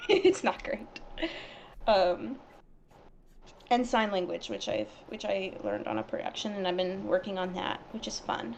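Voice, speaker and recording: Amid noticeable background noise, a woman talks at a moderate pace with long, frequent pauses. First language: Arabic. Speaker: animation project team member. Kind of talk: casual chat. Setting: live stream. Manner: halting.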